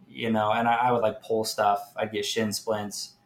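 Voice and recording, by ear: A man speaks at a moderate pace, fairly low in pitch. His voice shows little pitch movement.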